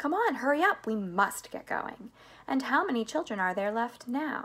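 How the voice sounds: A woman puts on a character voice with a fairly high pitch, a fairly bright tone and a slightly husky edge. She talks at a moderate pace with big pitch swings.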